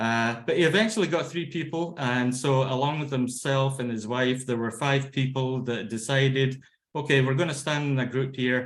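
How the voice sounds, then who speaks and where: A man with a Scottish accent, ordinary pitch variation, a moderate pace and hardly any pauses. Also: medium pitch for a man. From Scotland. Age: 50s. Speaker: laughter yoga trainer. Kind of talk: lecture. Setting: video call. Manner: halting.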